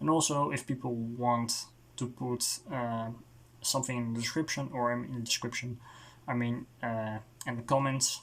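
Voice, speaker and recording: A man in a Dutch accent at a moderate pace, monotone and flat, on a very clean recording with a silent background. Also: medium pitch for a man. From Netherlands. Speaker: music reviewer. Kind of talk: casual video review monologue. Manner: halting, with many fillers and restarts.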